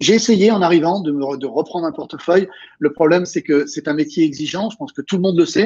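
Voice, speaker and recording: A man with a fairly high pitch speaks at a fairly quick pace in a plain, everyday voice. The background is quiet. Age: 60s. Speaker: real estate coach and trainer. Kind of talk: interview. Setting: video call.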